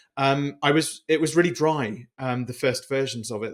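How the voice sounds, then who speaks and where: The recording is very clean, with a silent background. A man talks at a medium pitch, and his pitch varies in an ordinary way. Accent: British. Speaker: business coach and author. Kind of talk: interview. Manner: halting.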